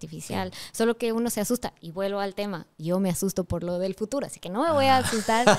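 A woman's medium-pitched voice at a very fast pace, lively in intonation, with hardly any pauses. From Ecuador. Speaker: voice over artist and singer. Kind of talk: interview answer. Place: studio. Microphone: studio mic.

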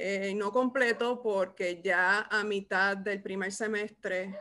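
Speaking with a Puerto Rican accent, a woman has a bright, sharp tone. Her intonation stays fairly even. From Puerto Rico. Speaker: podcast host, archivist; podcast co-host. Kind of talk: casual interview. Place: home room. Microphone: video call.

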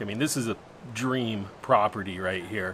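Ordinary pitch variation marks a man's speech at a moderate pace. There is light background noise. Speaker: travel vlogger. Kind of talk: casual vlog chat. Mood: cheerful, relaxed. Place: home room. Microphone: phone near.

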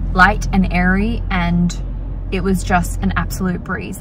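Noticeable background noise sits under a woman's dry-sounding voice with no echo. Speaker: vlogger. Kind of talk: casual vlog chat. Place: car. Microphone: phone near.

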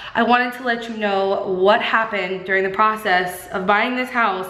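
A woman talks at a moderate pace. Room echo can be heard. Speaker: lifestyle vlogger. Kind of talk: casual vlog chat. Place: empty room. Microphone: phone near.

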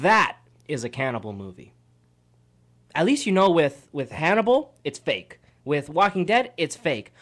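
Vocal fry runs through speech with very wide pitch swings and long, frequent pauses against a quiet background. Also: man, fairly high pitch for a man, moderate pace. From Canada. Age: 20s. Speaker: radio co-host. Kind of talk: casual radio chat. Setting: radio studio. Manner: animated. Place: studio. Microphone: studio mic.

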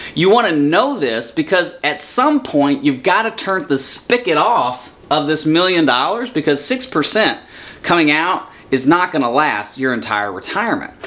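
The speaker moves at a moderate pace with very wide pitch swings. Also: man. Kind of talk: lecture. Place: office.

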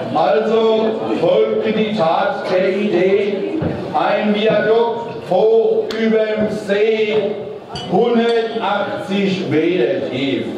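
A man talking very slowly amid strong room echo and noticeable background noise. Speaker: carnival speaker. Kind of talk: carnival rhymed comic speech. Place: hall.

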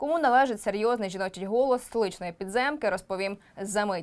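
A woman with a plain, everyday voice speaks at a fairly high pitch with lively intonation. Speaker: news presenter. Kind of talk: news report narration. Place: studio. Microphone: lapel.

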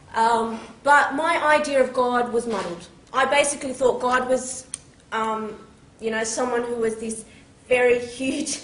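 Audible room echo surrounds a woman with an Australian accent who speaks high-pitched at a fairly slow pace, her intonation fairly even. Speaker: teacher and convert speaker. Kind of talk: public talk, testimony. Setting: stage with microphone and audience. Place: hall. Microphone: camera far.

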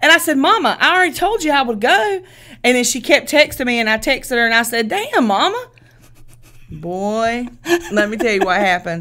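A woman with a Southern US accent talks at a fairly quick pace in a high, bright, sharp voice with very wide pitch swings over a quiet background. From US South. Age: 40s. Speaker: podcast co-host. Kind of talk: casual chat. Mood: amused, animated storytelling. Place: studio. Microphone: studio mic.

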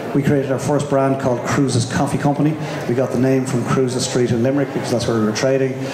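Over noticeable background noise, a man speaks at a very fast pace in a monotone, flat intonation with very even loudness. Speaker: speaker. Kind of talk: presentation talk. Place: hall. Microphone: handheld.

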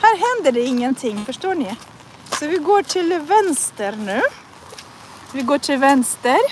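Over light background noise, a woman with a Russian accent speaks at a very slow pace in a high pitch with very wide pitch swings, the sound dry with no echo. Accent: Russian-accented Swedish. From northern Russia. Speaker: language teacher. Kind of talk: live language lesson while walking. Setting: outdoors in the rain. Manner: slow, repetitive learner-friendly speech. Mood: cheerful. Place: street. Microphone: phone near.

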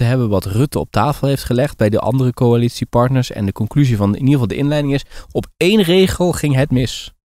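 Delivered at a fairly quick pace, a plain, everyday voice uses ordinary pitch variation. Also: man. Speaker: podcast co-host. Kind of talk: casual chat. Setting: remote call.

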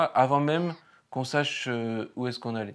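Medium-pitched male speech with an ordinary amount of pitch variation. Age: 30s. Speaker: painter and first-time documentary filmmaker. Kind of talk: interview. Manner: hesitant, many fillers and repetitions.

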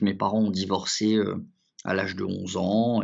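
A man's fairly low voice, fairly slow in pace, with monotone, flat intonation. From France (left Morocco at age 7). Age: 40s. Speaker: lawyer. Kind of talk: interview. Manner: hesitant, many fillers.

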